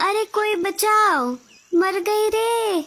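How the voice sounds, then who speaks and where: Loud and squeaky, a woman's put-on character voice reaches an extremely high pitch. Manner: loud, crying out in distress.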